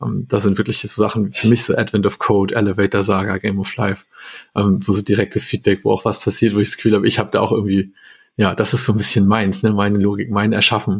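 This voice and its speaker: Speaking at a very fast pace, a man uses a fairly low voice with monotone, flat intonation. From northern Germany, Hamburg. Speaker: software developer. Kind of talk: casual chat.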